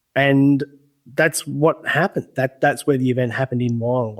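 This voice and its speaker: In an Australian accent, a man with a medium-pitched voice talks at a fairly quick pace with ordinary pitch variation, the sound dry and close with no echo. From regional Australia. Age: 40s. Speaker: UFO witness and field investigator. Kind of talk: interview storytelling.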